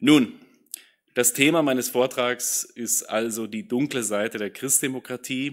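A fairly slow pace and fairly even intonation against a quiet background. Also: man. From Austria. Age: 30s. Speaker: political science professor. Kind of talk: lecture. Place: hall. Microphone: podium.

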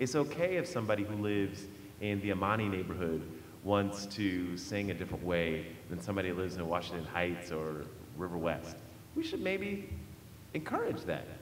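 A man with an American accent talks at a fairly quick pace in a fairly low voice with ordinary pitch variation. Audible room echo and light background noise are present. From Baltimore, US. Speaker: nonprofit executive director; panelist. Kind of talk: panel discussion. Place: hall. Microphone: podium.

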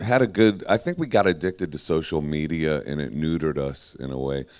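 A man with a very deep, low pitch talks at a moderate speed. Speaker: guest. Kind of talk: panel discussion answer. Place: tent. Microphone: handheld.

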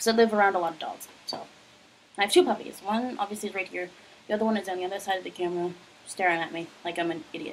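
Over light background noise, a woman speaks very fast with ordinary pitch variation and big swings in loudness. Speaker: vlogger. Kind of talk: casual vlog chat. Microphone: phone near.

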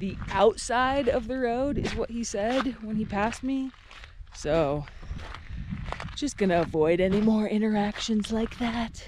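A woman talks at a fairly slow pace. The recording is dry with no echo but has noticeable background noise. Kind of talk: casual vlog chat. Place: open country. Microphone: phone near.

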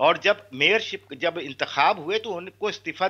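A man's bright, sharp voice with vocal fry and lively intonation, at a fairly slow pace over a quiet background. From Pakistan. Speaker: party representative; guest. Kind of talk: political debate. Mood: assertive, correcting other guest. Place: home room. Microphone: video call.

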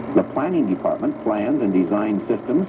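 A man speaks at a fairly quick pace amid noticeable background noise. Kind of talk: 1980s corporate film narration, scripted voiceover. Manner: formal, even-paced, authoritative, stately announcer delivery.

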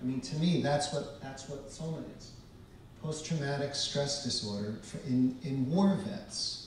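In a recording with strong room echo and light background noise, a man with an American accent speaks at a fairly slow pace and fairly high pitch, with ordinary pitch variation and big swings in loudness. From US Northeast, Boston area and northern New Jersey. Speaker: psychedelics researcher and historian; speaker. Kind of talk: lecture. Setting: stage with audience. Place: hall.

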